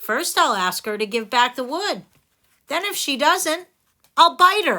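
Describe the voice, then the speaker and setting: A put-on character voice at a fairly slow pace, on a very clean recording with a silent background. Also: woman, high pitch for a woman. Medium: read story. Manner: mild, earnest.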